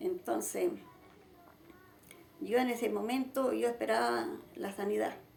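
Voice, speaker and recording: A woman talks at a fairly slow pace, with long, frequent pauses. Audible room echo and noticeable background noise are present. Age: 70s. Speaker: church founder. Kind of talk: testimony.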